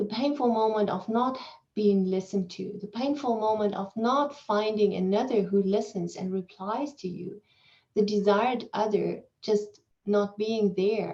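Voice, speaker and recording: A woman with a non-native accent talks at a fairly slow pace, her tone dark and mellow and her intonation fairly even. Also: medium pitch for a woman. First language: not English. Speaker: keynote speaker, psychology professor. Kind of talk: academic Q&A answer. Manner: halting, with repetitions and fillers.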